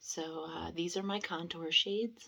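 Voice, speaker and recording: The voice is quiet. Its pitch variation is ordinary. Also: woman. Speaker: beauty vlogger. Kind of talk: casual product review vlog. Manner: quiet, keeping voice down; hesitant, many fillers.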